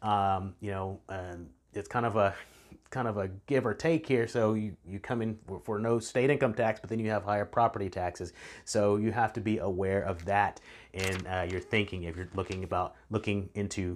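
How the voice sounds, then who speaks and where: Here a man with a Texan accent speaks at a fairly low pitch with ordinary pitch variation. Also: moderate pace, very clean recording, silent background. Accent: Texan American English. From Texas Hill Country. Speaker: real estate agent. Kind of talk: casual video talk. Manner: halting, many fillers.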